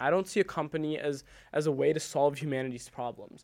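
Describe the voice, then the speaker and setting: In a very clean recording with a silent background, a man talks at a very fast pace in a fairly high pitch. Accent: American. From US Midwest, Naperville, Illinois. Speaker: college student and app founder. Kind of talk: casual interview.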